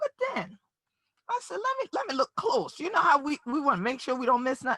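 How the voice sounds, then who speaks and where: A woman talks in an animated tone. The sound is dry and close, with no echo. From Gullah/Geechee Sea Islands, US South coast. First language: Gullah. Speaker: community leader and justice advocate. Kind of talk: keynote speech. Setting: virtual summit.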